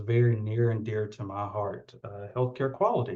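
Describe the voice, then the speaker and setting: In a Southern US accent, a man speaks with a dark, mellow, somewhat breathy tone. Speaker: occupational therapist, keynote speaker. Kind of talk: keynote speech. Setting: virtual event.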